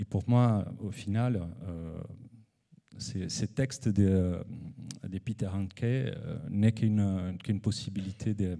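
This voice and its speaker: A man with a non-native accent speaks very slowly at a fairly low pitch, with ordinary pitch variation and long, frequent pauses. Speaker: photographer and researcher. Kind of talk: conference presentation. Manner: halting, many hesitations.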